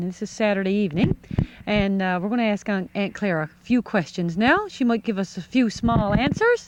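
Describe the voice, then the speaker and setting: An ordinary speaking voice moves at a fairly quick pace with ordinary pitch variation and big swings in loudness. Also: woman, medium pitch for a woman. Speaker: family interviewer. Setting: outdoors.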